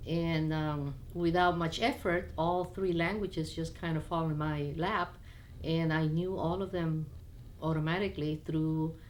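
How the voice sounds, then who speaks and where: A woman's fairly low voice at a fairly slow pace, with audible room echo. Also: very even loudness. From Peru, Lima, raised by Chinese (Cantonese) parents. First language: Spanish (also Chinese). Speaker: immigrant sharing life story. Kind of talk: personal life story interview. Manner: casual with hesitations and fillers.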